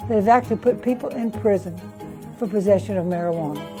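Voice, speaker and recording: With music playing in the background, a woman talks in a Southern US accent. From US South, south Louisiana. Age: 80s+. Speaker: political activist. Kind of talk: interview monologue. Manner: halting.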